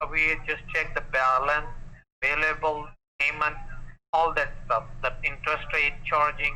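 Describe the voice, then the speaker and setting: A man with a South Asian accent at a fairly slow pace, long, frequent pauses, and very even loudness. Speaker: phone scammer. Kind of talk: phone sales pitch.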